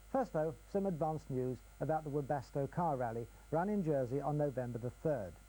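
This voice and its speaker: Speaking at a fairly quick pace, a man has a fairly high pitch with ordinary pitch variation. His tone is dark and mellow. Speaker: local TV sports news presenter. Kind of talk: TV sports news presenter read.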